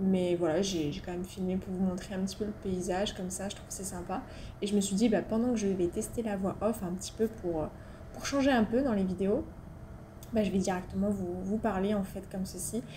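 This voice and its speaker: Her pitch sits in the medium range and varies in an ordinary way as a woman talks at a fairly quick pace. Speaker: motorcycle vlogger. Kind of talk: casual voice-over narration for a motovlog. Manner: chatty, hesitant.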